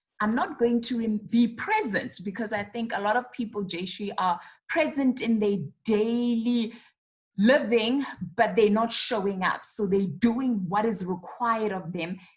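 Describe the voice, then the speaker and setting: Speaking at a fairly slow pace, a woman has a fairly high pitch and a somewhat breathy quality. She shows ordinary pitch variation in a South African accent. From South Africa, Rustenburg (North West). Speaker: public speaker and communications trainer. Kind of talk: interview.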